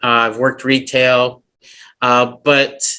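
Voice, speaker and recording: A man with a bright, sharp tone. He has a slight northern US accent. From Flint, Michigan. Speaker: actor and filmmaker. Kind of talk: casual chat. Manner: halting.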